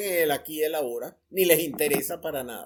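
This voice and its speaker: A woman is speaking. Her pace is fairly quick. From Venezuela. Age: 80s+. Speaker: retired journalism ethics professor and writer. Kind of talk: interview conversation.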